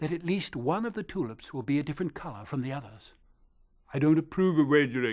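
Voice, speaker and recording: Very fast delivery with lively intonation. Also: man, fairly high pitch for a man. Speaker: storyteller. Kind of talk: storytelling.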